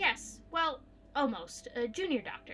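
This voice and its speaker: A woman puts on a character voice, high-pitched with very wide swings in pitch, speaking at a moderate pace over clear background noise. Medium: game stream. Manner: polite, slightly flustered.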